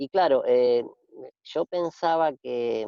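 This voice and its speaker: A man talks with a Rioplatense accent. His pace is very slow. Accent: Argentine Rioplatense Spanish. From Argentina. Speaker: radio host. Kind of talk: casual interview chat. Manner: hesitant, many fillers and repetitions.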